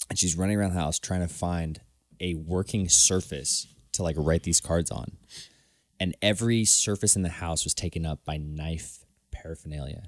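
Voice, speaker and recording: Recorded very cleanly against a silent background, with a dry, close sound and no echo, a man speaks at a very deep, low pitch with fairly even intonation. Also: moderate pace. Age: 20s. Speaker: podcast co-host. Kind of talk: casual chat.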